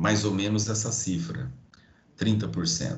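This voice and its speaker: In a room with audible echo, a man with a Brazilian accent talks at a fairly low pitch with lively intonation. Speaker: logistics professor. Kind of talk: online lecture.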